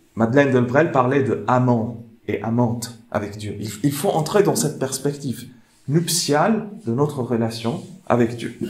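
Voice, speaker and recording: A man at a medium pitch and fairly slow pace, with ordinary pitch variation and audible room echo. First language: not French (speaking French). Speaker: theologian and speaker. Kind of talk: lecture. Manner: halting.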